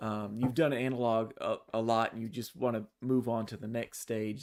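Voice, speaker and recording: A moderate pace with a Texas accent. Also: man. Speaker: podcast host. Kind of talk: interview. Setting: live online stream.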